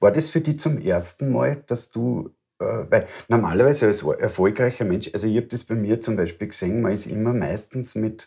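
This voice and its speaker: A man with an Austrian accent speaks at a moderate pace, his pitch fairly low with ordinary variation. His tone is dark and mellow and somewhat breathy. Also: quiet background. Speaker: interview host. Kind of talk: interview. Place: home room.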